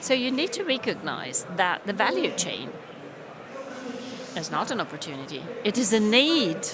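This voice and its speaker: A woman with a fairly high pitch and very wide pitch swings speaks with long, frequent pauses, amid audible room echo and noticeable background noise. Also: moderate pace. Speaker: conference speaker. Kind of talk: conference talk.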